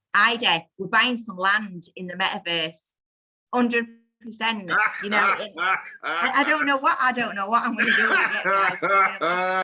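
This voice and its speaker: With a northern English accent, a woman talks at a medium pitch and with ordinary pitch variation. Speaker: crypto community call presenter. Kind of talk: casual group video call talk. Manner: fast; animated.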